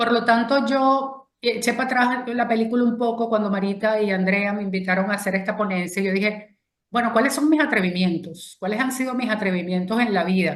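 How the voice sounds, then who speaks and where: Hardly pausing, a woman with a Venezuelan accent talks at a fairly quick pace and a fairly high pitch with ordinary pitch variation. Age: 60s. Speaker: feminist speaker and consultant. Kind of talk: talk to an online audience.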